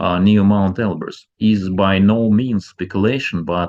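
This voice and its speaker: In a very clean recording with a silent background, a man speaks at a fairly slow pace. His pitch is fairly low and his intonation fairly even. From former Soviet Union. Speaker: ufology researcher and channel host. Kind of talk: documentary-style narration.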